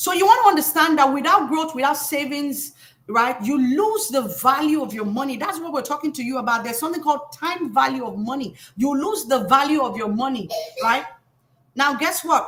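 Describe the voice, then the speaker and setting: A woman speaks quickly in a high pitch with an African accent and lively intonation. Her loudness swings a lot, and room echo is audible. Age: 30s. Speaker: financial educator. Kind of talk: live stream talk. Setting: live stream. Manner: animated.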